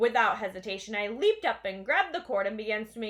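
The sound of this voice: An unforced reading voice. The words are read out in this way.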